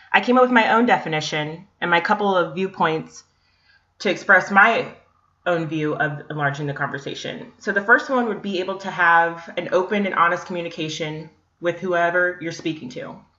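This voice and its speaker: A woman with a plain, everyday voice and an American accent, fairly low in pitch, with ordinary pitch variation. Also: moderate pace. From US, Northern Virginia. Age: 20s. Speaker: graduate student. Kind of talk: class presentation. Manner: scripted, reading from slides.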